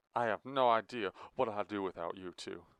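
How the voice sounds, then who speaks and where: A man puts on a booming, loud character voice with a fairly low pitch. He speaks at a fairly quick pace with ordinary pitch variation. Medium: read story. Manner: smug, loud; mocking, scornful.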